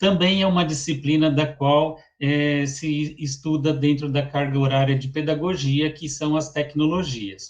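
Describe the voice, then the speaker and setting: A somewhat breathy voice with a São Paulo accent at a fairly slow pace. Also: man. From Brazil, São Paulo. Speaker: teacher. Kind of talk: lecture. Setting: online webinar.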